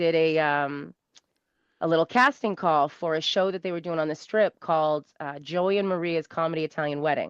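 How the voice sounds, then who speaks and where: A woman with a strong Massachusetts accent speaks at a moderate pace in a fairly low pitch, with ordinary pitch variation. The sound is dry and close with no echo, against a quiet background. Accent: thick South Shore Massachusetts. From South Shore, Massachusetts. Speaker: comedian, interview guest. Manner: casual, storytelling.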